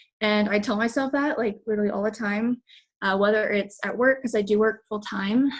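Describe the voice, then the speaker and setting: With an American accent, a woman speaks in a fairly high, somewhat breathy voice with fairly even intonation. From Texas. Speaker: fitness coach. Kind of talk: motivational talk.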